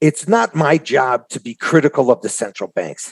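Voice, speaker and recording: In a normal speaking voice, a man talks at a moderate pace and fairly high pitch, with a dry, close sound and no echo. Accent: American. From Chicago. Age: 60s. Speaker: trader. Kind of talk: casual interview chat.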